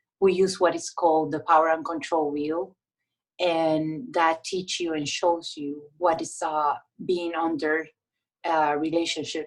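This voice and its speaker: A woman with a Puerto Rican accent, fairly low in pitch, at a very slow pace with fairly even intonation. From Puerto Rico. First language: Spanish. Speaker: domestic violence victim advocate. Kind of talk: interview. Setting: podcast.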